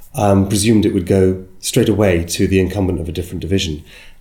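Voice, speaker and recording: A man with a British accent talks at a fairly quick pace in a fairly low, dark, mellow voice with ordinary pitch variation and audible room echo. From UK. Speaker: agency business development consultant. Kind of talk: interview. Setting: in person in London.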